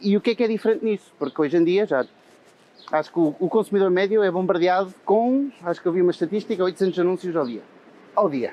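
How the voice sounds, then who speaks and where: A man talks at a very fast pace with a high pitch. His pitch variation is ordinary. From Portugal. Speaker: head of marketing. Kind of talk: casual interview chat. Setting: outdoors, walking in Madrid. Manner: hesitant, many fillers.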